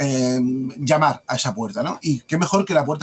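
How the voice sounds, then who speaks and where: Speaking at medium pitch, a man carries a slight Andalusian accent. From Andalusia, Spain. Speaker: mystery writer and publisher. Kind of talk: podcast interview. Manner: hesitant, many fillers.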